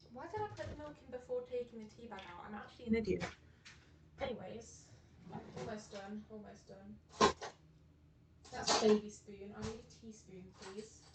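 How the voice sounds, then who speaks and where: Woman with big swings in loudness and long, frequent pauses, amid audible room echo and noticeable background noise. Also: moderate pace. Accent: British. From Britain. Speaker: vtuber streamer. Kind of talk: casual livestream chat. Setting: home livestream from laptop. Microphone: laptop microphone, unsure of volume.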